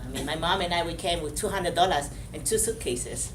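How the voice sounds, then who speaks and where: The voice comes through noticeable background noise and audible room echo. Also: woman. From Vietnam, then Belgium and Spain. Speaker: motivational speaker, model and actress. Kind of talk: motivational talk to a class. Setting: school classroom. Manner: halting, repeats words.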